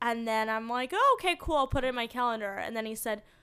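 A woman uses a raised, projected voice with a bright, sharp tone in a very clean recording with a silent background. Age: 20s. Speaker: podcast co-host. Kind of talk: casual chat.

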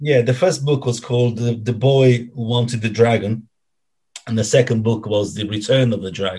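A man with an Italian accent speaks at a medium pitch and moderate pace, somewhat breathy, in a dark, mellow tone with fairly even intonation against a quiet background. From Italy, Rome (Ostia area). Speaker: football fan club founder. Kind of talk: casual interview. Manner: halting, many fillers and repetitions.

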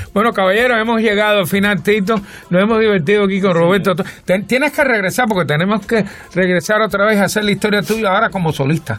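A man's high-pitched, very fast speech at very even loudness, with noticeable background noise. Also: ordinary pitch variation. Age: old. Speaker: radio host. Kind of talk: interview.

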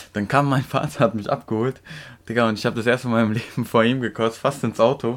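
A man talks at a very fast pace. His intonation is flat and monotone. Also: medium pitch for a man, very clean recording, silent background. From Turkey. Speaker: podcast co-host. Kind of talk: casual chat.

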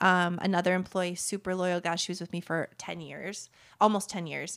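A woman speaks at a medium pitch. The recording is very clean, with a silent background. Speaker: entrepreneur and business coach. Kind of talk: interview. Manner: fast talker.

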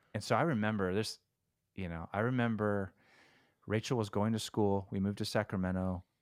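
With a Californian accent and a fairly low pitch, a man talks at a fairly quick pace with fairly even intonation and long, frequent pauses, in a dry, close sound with no echo. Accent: Californian American English. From California, Stockton area. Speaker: rock guitarist. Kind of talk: casual interview chat. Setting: remote call from home.

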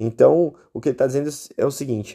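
Lively intonation marks a man's dark, mellow tone in a very clean recording with a silent background. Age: 30s. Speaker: podcast host. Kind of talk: solo explanatory philosophy talk. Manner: halting, many fillers.

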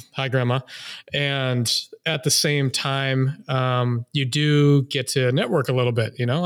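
With fairly even intonation, a man talks at medium pitch in an ordinary speaking voice. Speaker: podcast host. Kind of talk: casual interview chat. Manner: jokey, conversational.

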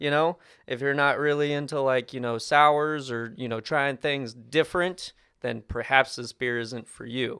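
A man's normal speaking voice, fairly high in pitch, with fairly even intonation and a moderate pace. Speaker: new RV salesperson, former restaurant server. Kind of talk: casual interview chat over beers.

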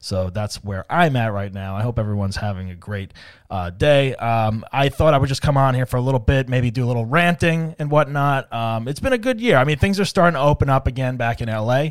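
An unremarkable speaking voice with lively intonation and hardly any pauses, on a very clean recording with a silent background. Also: man, medium pitch for a man, fairly quick pace. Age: 40s. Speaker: comedian and podcast host. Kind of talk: solo comedic monologue. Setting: studio. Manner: casual with frequent fillers and repetitions.

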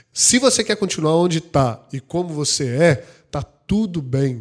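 A man with a plain, everyday voice speaks fairly slowly, his intonation lively. The recording is very clean, with a silent background. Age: 30s. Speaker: insurance franchise CEO and podcast co-host. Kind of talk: casual chat.

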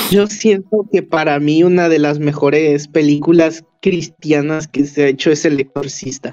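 A man's dark, mellow tone at a fairly slow pace, with hardly any pauses, very even loudness and fairly even intonation. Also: fairly high pitch for a man. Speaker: film YouTuber. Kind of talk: casual chat.

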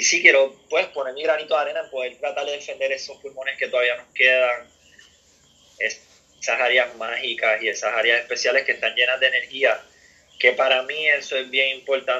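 Someone speaks at a moderate pace in a Puerto Rican accent. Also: man. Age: 40s. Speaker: professional surfer. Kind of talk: interview.

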